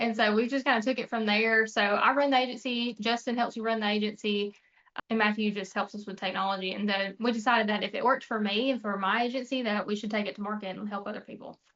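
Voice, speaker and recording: A woman with a Mississippi accent, fairly high pitch, very fast pace and monotone, flat intonation. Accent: Southern US (Mississippi). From US South, North Mississippi. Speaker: insurance agency owner. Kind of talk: casual business chat.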